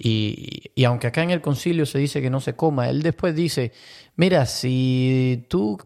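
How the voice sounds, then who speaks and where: A man speaks in a dark, mellow tone on a very clean recording with a silent background. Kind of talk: casual chat on Bible topics. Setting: new larger studio.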